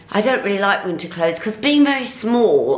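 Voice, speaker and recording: A woman talks amid light background noise, her voice carrying audible room echo. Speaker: fashion vlogger. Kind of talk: casual vlog chat. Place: home room. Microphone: camera far.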